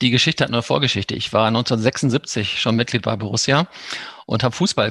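A man talks in a plain, everyday voice at a medium pitch with ordinary pitch variation, the sound dry and close with no echo. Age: 50s. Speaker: sports club official. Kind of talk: interview.

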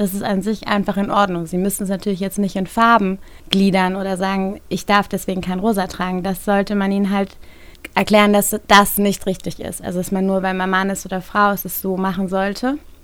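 A woman speaks at a fairly quick pace with a medium pitch and a monotone, flat intonation. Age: 30s. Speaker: managing director, feminist network co-founder. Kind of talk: podcast interview discussion.

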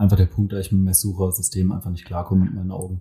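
Somewhat breathy and dark, mellow in tone, a man's voice comes through a very clean recording with a silent background. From Mannheim, Germany. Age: 20s. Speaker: photographer. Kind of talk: casual chat. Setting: studio.

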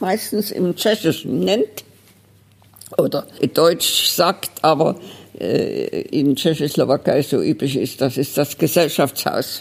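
Very slowly, a woman speaks. Noticeable background noise runs throughout. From Dresden, Saxony. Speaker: retired librarian running a private library. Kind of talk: interview. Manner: lively, animated storytelling.

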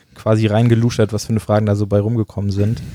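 With a dark, mellow tone and medium pitch, a man speaks at a very fast pace. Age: 20s. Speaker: podcast host and gaming YouTuber. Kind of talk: casual chat. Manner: casual, colloquial.

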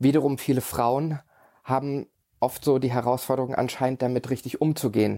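The voice has a dark, mellow tone and a flat, monotone intonation, holding a very even loudness at a moderate pace. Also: man, medium pitch for a man. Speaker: podcast host and coach. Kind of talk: solo podcast monologue.

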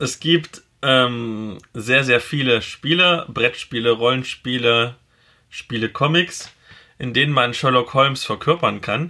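A man with an East German accent, medium pitch, ordinary pitch variation and a very slow pace. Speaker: podcast host and blogger. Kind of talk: casual chat.

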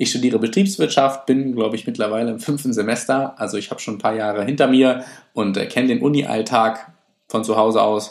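Speaking fairly quickly, a man uses a medium pitch and ordinary pitch variation. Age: 20s. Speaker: podcast host, student and fitness enthusiast. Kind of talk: casual solo podcast talk. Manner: hesitant, many filler sounds.

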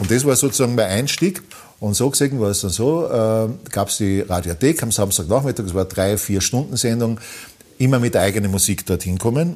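The voice belongs to a man and sits at a medium pitch. Intonation rises and falls in a lively way. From Austria, East Tyrol (Lienz). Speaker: musician and former radio host. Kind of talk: casual interview. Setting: closed café.

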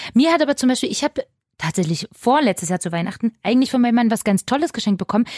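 At a very fast pace, a woman speaks at a fairly high pitch with very wide pitch swings. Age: 30s. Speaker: radio show co-host. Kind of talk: casual chat.

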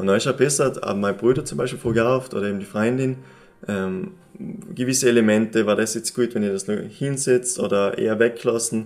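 Speaking with an East Tyrolean accent, a man keeps a medium pitch and moderate pace. His intonation is lively. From East Tyrol, Austria. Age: 20s. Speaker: painter. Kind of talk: interview. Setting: summit cross exhibition space.

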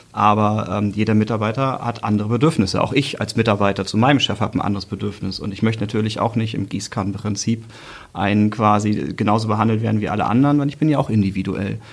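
A man's fairly low voice at a very fast pace, fairly even in intonation. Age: 30s. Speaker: team manager. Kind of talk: casual interview.

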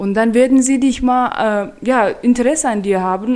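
Dark and mellow in tone, a woman's voice rises and falls with ordinary pitch variation. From Turkmenistan, capital city. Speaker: colleague at an intercultural prevention organisation. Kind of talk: casual chat.

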